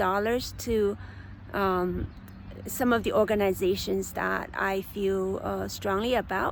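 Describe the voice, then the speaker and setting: A woman speaks at a very slow pace in a non-native accent, her pitch sitting in the medium range. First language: not English. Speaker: forest therapy guide. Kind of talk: guided meditation. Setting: outdoors on a park bench. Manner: halting, many fillers.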